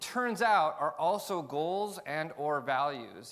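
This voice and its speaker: Lively intonation marks this man's speech on a very clean recording with a silent background. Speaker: tech company CEO. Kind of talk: conference talk. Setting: stage with audience. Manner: fast; loud.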